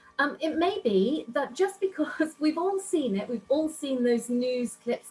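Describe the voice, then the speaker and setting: Noticeable background noise sits behind a woman who talks at a moderate pace with lively intonation. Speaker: networking club founder, business speaker. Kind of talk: online workshop presentation. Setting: video call from home office.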